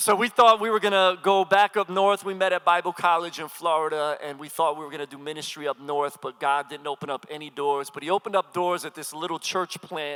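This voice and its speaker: Bright and sharp in tone, a man with a slight Philadelphia accent speaks energetically at a fairly quick pace in a fairly high pitch with ordinary pitch variation, recorded dry and close with no echo. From Philadelphia, US. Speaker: pastor and hip-hop artist. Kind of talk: sermon. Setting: stage with audience.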